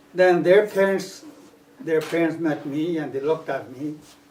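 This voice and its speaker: A man speaks at a fairly slow pace in a fairly high pitch with ordinary pitch variation. Noticeable background noise and audible room echo fill the recording. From Punjab, India. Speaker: immigrant oral history interviewee. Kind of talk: oral history interview. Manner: halting.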